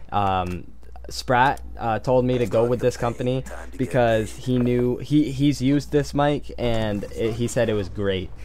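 A man talks at a fairly slow pace. There is light background noise. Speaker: gaming video creator. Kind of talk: casual vlog chat. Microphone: headset.

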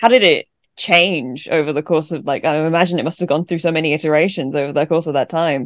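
A woman's very deep, low voice at a very fast pace, with ordinary pitch variation, dry sound with no echo and a quiet background. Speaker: podcast co-host. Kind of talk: casual chat. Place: home room. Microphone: video call.

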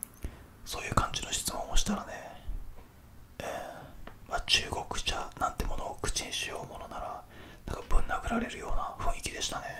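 A soft-spoken man whispers at a moderate pace, with big swings in loudness. Noticeable background noise is present. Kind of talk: casual soft-spoken chat. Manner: soft intimate whisper into the mic. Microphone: studio mic.

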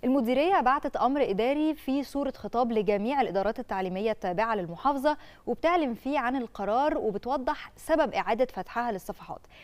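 The voice flows with lively intonation and hardly any pauses. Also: woman, high pitch for a woman, moderate pace. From Egypt. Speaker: TV presenter. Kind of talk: casual chat. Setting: studio. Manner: animated. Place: studio. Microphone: lapel.

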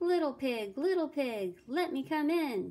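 Using a put-on character voice, a woman speaks high and at a fairly slow pace. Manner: coaxing, crying out.

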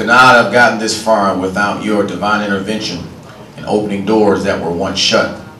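Monotone, flat intonation comes through with audible room echo and light background noise. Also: man. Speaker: pastor. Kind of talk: invocation prayer at a public event. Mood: solemn, reverent. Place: hall.

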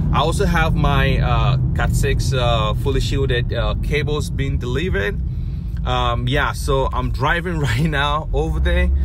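A man speaks at a fairly slow pace with a dry sound and no echo. Loud background noise runs underneath. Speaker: network engineer vlogger. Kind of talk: casual vlog chat. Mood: relaxed, cheerful. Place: car. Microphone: phone near.

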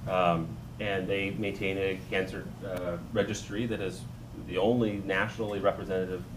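Over noticeable background noise, a man speaks at a fairly quick pace in a very deep, low pitch. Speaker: physician; panelist. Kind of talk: panel discussion. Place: hall.

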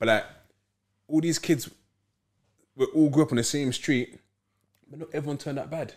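A man with a London accent talks at a fairly quick pace, fairly high for a man, with fairly even intonation. Long, frequent pauses break up his speech against a quiet background. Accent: London Multicultural English. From London, Peckham. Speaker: football club founder. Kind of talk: casual interview chat. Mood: reflective, somber mention. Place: studio.

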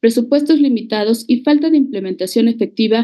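A fairly quick-paced woman's voice over a quiet background. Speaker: presenter. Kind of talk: formal report presentation. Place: home room. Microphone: video call.

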